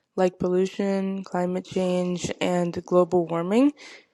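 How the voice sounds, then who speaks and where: A woman's medium-pitched voice with a dark, mellow tone at a moderate pace, on a very clean recording with a silent background. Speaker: student presenter of a project. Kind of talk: scripted podcast presentation of a project. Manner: some stuttering and hesitations.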